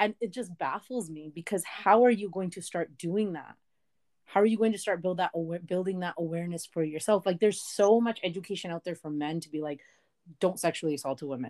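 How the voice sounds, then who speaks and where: An ordinary speaking voice from a woman, fairly low in pitch, at a fairly quick pace with ordinary pitch variation and big swings in loudness, dry and close with no echo on a very clean recording with a silent background. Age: 20s. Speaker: digital marketer and activist guest. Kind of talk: casual interview.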